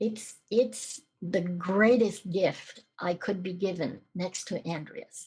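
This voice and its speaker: A woman speaks very slowly, with hardly any pauses. Her voice is somewhat breathy and medium in pitch. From Canada. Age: 60s. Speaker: podcast guest. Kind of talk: testimony. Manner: animated.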